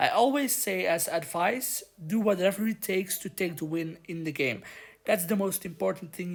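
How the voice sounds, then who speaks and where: A woman speaks at a moderate pace with a non-native accent. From Belgium. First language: not English. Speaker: gaming youtuber. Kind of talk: gameplay commentary.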